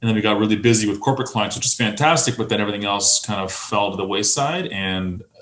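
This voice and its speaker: The speech comes at a very fast pace with fairly even intonation. Room echo is audible. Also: man. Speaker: video producer. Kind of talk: casual chat.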